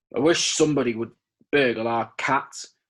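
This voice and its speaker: Putting on a gruff, growling character voice at a medium pitch, a man talks at a moderate pace with fairly even intonation. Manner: growling, gruff.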